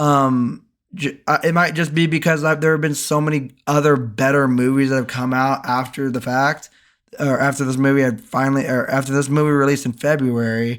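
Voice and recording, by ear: With a fairly bright tone, a man talks at a medium pitch and a moderate pace, his pitch moving little.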